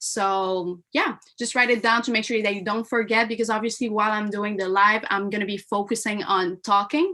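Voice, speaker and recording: A woman speaks in a French Canadian accent at a moderate pace. Her bright, sharp tone sits at medium pitch with ordinary pitch variation. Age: 20s. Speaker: mindset coach and former taekwondo athlete. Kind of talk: live online seminar. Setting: live stream.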